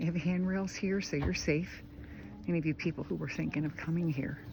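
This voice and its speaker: A woman with an American accent speaks at a fairly quick pace in a very deep, low pitch. Her vocal fry comes through, and her pitch varies in an ordinary way. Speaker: travel vlogger. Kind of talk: casual travel vlog narration. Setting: outdoors on mountain summit. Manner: casual, hesitant with fillers.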